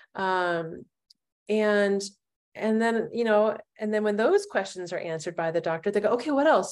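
A woman with a normal speaking voice, fairly high pitch and ordinary pitch variation. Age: 50s. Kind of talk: interview.

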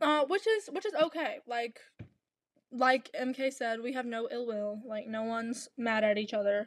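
Her pitch is high, with ordinary pitch variation. The woman speaks at a fairly slow pace. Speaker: podcast host. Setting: home, dog nearby.

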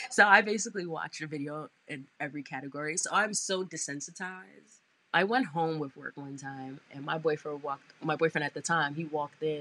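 Speaking in a New York accent, a woman has a very deep, low pitch and a bright, sharp tone with ordinary pitch variation. Her delivery is animated and fairly quick, with big swings in loudness. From Brooklyn, New York. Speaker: advertising sales manager. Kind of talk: interview.

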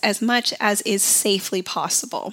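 Noticeable background noise sits behind a woman whose medium-pitched voice shows ordinary pitch variation. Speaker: podcast host, dietitian. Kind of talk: educational podcast monologue. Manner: informative, teaching tone.

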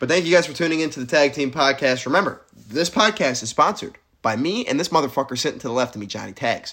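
A man with an American accent, fairly high in pitch, bright and sharp in tone, very fast and lively in intonation, on a very clean recording with a silent background. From upstate New York (Syracuse). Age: 20s. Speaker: podcast co-host, college student. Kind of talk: casual chat.

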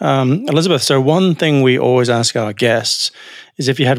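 A man speaks in an unremarkable speaking voice at a medium pitch. His pitch variation is ordinary. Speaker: podcast host. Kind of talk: casual podcast discussion.

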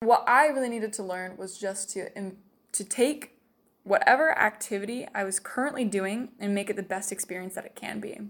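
With a normal speaking voice, a woman talks at a fairly quick pace and medium pitch, showing ordinary pitch variation and big swings in loudness. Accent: American. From Utah. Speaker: missionary. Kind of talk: testimony.

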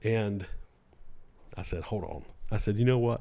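A man with a Southern US accent speaks in a dark, mellow tone in a very clean recording with a silent background. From North Carolina, Lexington. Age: 30s. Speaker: video director and producer. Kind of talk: casual chat.

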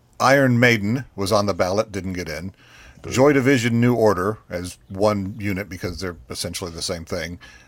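Over a silent background on a very clean recording, a man with a normal speaking voice talks at a fairly low pitch and a moderate pace. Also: ordinary pitch variation. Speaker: radio co-host. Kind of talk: casual chat.

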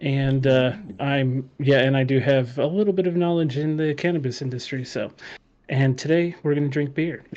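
In an ordinary speaking voice, a man talks at a moderate pace with fairly even intonation. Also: fairly high pitch for a man. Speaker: graphic designer and gamer. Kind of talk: casual chat. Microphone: too quiet.

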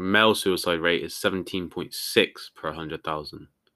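In a very clean recording with a silent background, a man with a British accent speaks at a very deep, low pitch in a bright, sharp tone. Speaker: podcast co-host. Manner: casual, laid-back.

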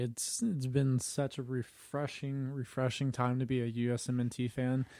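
A man's medium-pitched voice with a dark, mellow tone, at a moderate pace with hardly any pauses, very even loudness and fairly even intonation. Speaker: soccer podcast co-host. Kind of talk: casual chat. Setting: same room as co-host. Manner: monotone.

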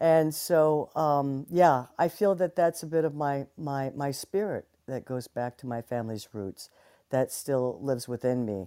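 A woman talks fairly slowly in a very deep, low voice with a dark, mellow tone. Her intonation is lively. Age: 60s. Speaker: guest speaker. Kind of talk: casual chat. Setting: Clubhouse audio room.

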